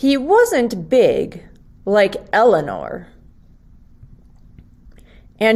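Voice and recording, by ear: A woman talks at a very slow pace, her fairly high voice carrying a slightly mellow tone.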